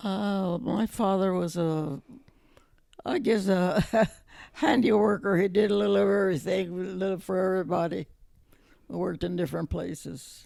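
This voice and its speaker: A woman talks at a moderate pace with a dark, mellow tone and medium pitch. She leaves long, frequent pauses, and her pitch varies in an ordinary way. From New Mexico. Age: 80s+. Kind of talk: oral history interview answer.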